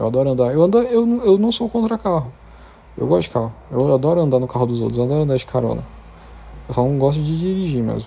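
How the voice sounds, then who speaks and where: A man speaks at a very fast pace with very wide pitch swings. His tone is dark and mellow, and somewhat breathy. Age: 20s. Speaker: podcaster. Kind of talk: casual monologue.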